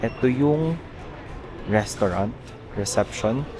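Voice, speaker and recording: A man speaks quietly at a very slow pace. Music sits in the background. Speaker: lifestyle vlogger. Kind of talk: casual vlog narration. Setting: outdoors, quiet mountain village. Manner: soft-spoken, calm; low energy, quiet.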